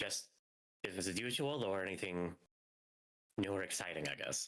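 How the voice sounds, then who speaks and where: In a put-on character voice, a man talks at a fairly quick pace with a very deep, low pitch and very even loudness. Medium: actual play. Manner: warm, teasing.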